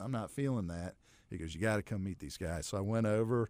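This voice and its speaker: With a normal speaking voice, a man talks at a fairly quick pace in a fairly low pitch with lively intonation, on a very clean recording with a silent background. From Ohio (Akron). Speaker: lawyer. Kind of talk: casual chat.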